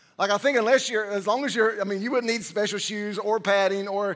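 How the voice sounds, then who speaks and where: A man's high voice with fairly even intonation, set against a quiet background. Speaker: senior pastor. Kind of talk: sermon. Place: church.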